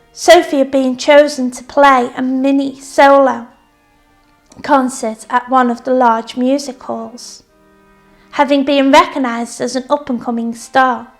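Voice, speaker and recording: Over music in the background, a woman talks at a fairly slow pace in a high pitch with monotone, flat intonation and big swings in loudness. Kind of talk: story reading.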